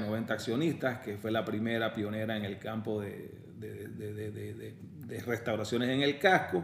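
Ordinary pitch variation from a male speaker, with room echo clearly audible. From Panama. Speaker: lawyer. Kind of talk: interview conversation. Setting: office.

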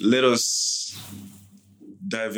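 A man speaks with music in the background. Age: 30s. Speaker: podcast host. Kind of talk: scripted narration; casual chat.

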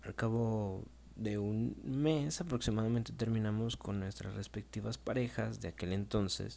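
A man talks at a fairly slow pace and a fairly low pitch, in a dark, mellow tone. His pitch swings very widely. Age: 20s. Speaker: podcaster, young father. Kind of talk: personal storytelling monologue.

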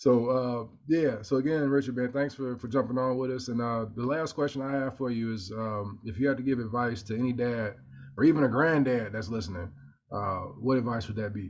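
A man speaks in an ordinary speaking voice at a medium pitch. He moves at a fairly quick pace with ordinary pitch variation. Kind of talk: casual chat.

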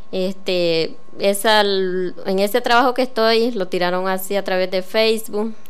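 Audible room echo surrounds a voice delivered at a fairly slow pace with fairly even intonation. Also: woman, medium pitch for a woman. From Nicaragua, Río San Juan. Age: 20s. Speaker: program participant. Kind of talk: testimony. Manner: halting.

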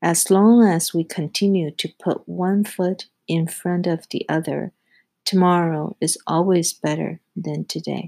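Fairly slowly and with fairly even intonation, a woman with a non-native accent speaks in a dark, mellow tone on a very clean recording with a silent background. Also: fairly low pitch for a woman. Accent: foreign-accented English. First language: not English. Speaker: podcast host, project execution specialist. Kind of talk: scripted solo monologue, self-help advice.

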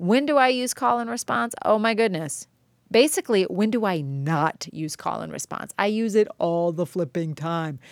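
On a very clean recording with a silent background, a woman speaks loud and at a moderate pace, her medium pitch swinging very widely in an animated tone. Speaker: art teacher podcaster. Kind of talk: solo podcast monologue.

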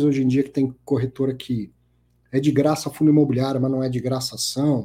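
A man speaks in a fairly high, somewhat breathy voice. His tone is dark and mellow. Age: 40s. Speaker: financial podcast host. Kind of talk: live show commentary and interview. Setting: live stream.

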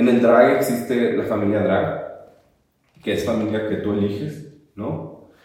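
The voice has vocal fry, ordinary pitch variation and a fairly slow pace. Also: man, medium pitch for a man. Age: 30s. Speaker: drag performer. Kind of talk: interview conversation.

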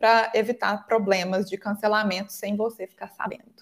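At a moderate pace, a woman with a Minas Gerais accent speaks at a fairly high pitch. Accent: Minas Gerais (mineiro) Portuguese. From Brazil, Minas Gerais. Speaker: English teacher and exam prep mentor. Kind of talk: interview.

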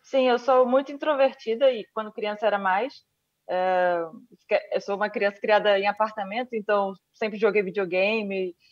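In a Rio de Janeiro accent, a woman talks at a moderate pace with a fairly high pitch and ordinary pitch variation. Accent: Brazilian Portuguese, Rio (carioca). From Brazil, Rio de Janeiro. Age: 30s. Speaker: Olympic judoka. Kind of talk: interview.

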